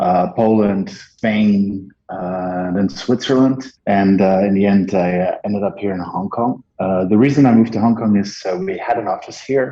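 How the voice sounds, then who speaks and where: At a moderate pace, a man speaks in a fairly low pitch with a dark, mellow tone and fairly even intonation. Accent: Dutch. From Netherlands. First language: Dutch. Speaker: marketing agency partner. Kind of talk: interview. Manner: halting, many filler words.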